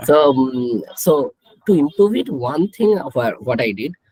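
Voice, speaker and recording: A man with a Bengali accent talks at a fairly slow pace with lively intonation, in a dry, close sound with no echo. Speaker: statistics professor. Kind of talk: live panel Q&A.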